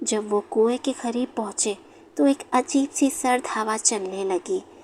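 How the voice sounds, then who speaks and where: A woman's fairly high-pitched voice, a plain, everyday voice, with ordinary pitch variation. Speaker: horror story narrator. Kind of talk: horror story narration.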